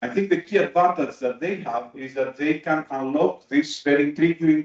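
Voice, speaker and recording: A man with a non-native accent, fairly high pitch, ordinary pitch variation and a fairly quick pace. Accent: non-native accent, noted by self. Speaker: materials researcher. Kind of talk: conference talk. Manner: hesitant, many fillers.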